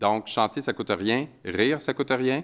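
A man speaks in a Quebec accent. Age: 50s. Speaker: author and anti-bullying advocate. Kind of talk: conference talk.

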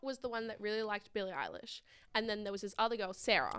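Bright and sharp in tone, a woman speaks at a fairly high pitch with an Australian accent. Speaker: podcast host. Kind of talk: casual chat.

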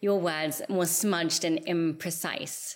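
Over a very clean recording with a silent background, a woman in a plain, everyday voice talks at a fairly slow pace with a fairly low pitch and ordinary pitch variation. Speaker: podcast host. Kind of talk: interview conversation.

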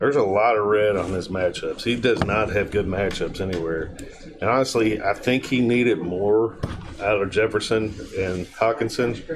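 A man talks in a fairly low pitch with ordinary pitch variation. Noticeable background noise sits behind him. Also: moderate pace. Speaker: guest co-commentator. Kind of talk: casual chat; car dealer commercial parody, playing a goofy salesman.

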